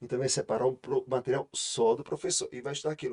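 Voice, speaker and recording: A man speaks at a very fast pace. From Brazil, interior of Ceará. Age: 40s. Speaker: law professor and lawyer. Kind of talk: podcast interview. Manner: hesitant, many filler repetitions.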